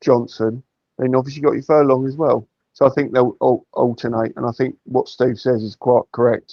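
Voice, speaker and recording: A man talks at a fairly quick pace and medium pitch, his intonation monotone and flat. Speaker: football fan pundit. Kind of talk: casual fan discussion on live stream.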